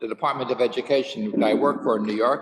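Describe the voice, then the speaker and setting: A man has an unremarkable speaking voice at a medium pitch. He talks at a fairly quick pace. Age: 60s. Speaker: rabbi and teacher. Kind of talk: casual chat before a Torah class; Torah class.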